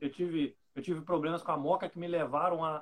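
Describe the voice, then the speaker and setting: A man's fairly high voice at a fairly slow pace. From Rio de Janeiro state, Brazil. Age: 30s. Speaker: bank clerk and coffee hobbyist. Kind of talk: casual chat.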